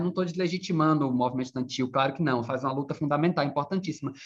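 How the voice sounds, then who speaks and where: A man speaks with lively intonation. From Bahia, Brazil. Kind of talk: casual chat.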